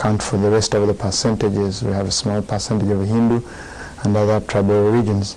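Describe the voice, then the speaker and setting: Over noticeable background noise, a man talks at a fairly quick pace in a fairly low, monotone, flat voice. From Uganda. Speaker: Buddhist monk. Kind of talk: dharma talk.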